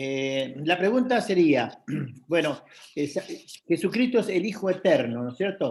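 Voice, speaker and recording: Very wide pitch swings mark a man's high voice as he speaks at a very slow pace. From Argentina. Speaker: caller. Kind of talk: question in a Bible study Q&A. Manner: halting.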